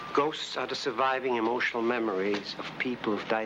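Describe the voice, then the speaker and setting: With noticeable background noise behind him, the man keeps a medium pitch, a moderate pace and fairly even intonation. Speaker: paranormal investigator. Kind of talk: documentary interview answer.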